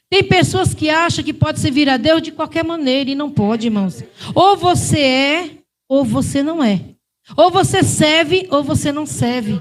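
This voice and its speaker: With a northeastern Brazilian accent, a woman speaks at a fairly slow pace in a high pitch with lively intonation. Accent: Brazilian northeastern accent, renewed. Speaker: preacher. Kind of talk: sermon.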